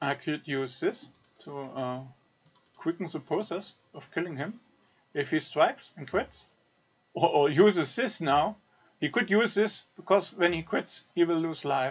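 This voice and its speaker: Speaking with a non-native accent, the voice moves at a fairly slow pace, broken by long, frequent pauses. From German-speaking country. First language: German. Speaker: gaming video creator. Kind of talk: gameplay commentary tutorial. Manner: halting, many fillers.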